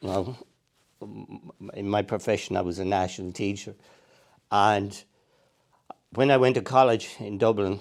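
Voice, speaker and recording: Pausing long and often, a man speaks at a moderate pace in a fairly low pitch. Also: fairly even intonation. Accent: Tipperary. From Ireland, Clonmel, County Tipperary. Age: 60s. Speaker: angler and retired primary school teacher. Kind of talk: casual interview.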